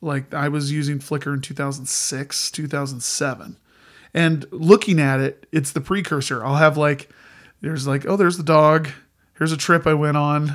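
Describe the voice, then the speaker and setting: With an American accent and a plain, everyday voice, a man speaks at a moderate pace in a fairly high pitch with fairly even intonation, in a very clean recording with a silent background. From Indiana, US Midwest. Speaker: musician and podcast co-host. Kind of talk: casual chat.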